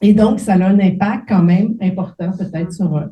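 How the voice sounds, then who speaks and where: A woman's dark, mellow, somewhat breathy voice with fairly even intonation and audible room echo. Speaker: professor. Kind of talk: lecture. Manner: hesitant, many fillers.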